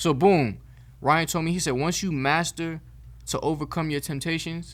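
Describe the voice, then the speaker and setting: On a very clean recording with a silent background, a man with an ordinary speaking voice talks at a moderate pace with a fairly high pitch and fairly even intonation. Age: 20s. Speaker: rapper and singer. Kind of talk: casual chat. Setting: podcast.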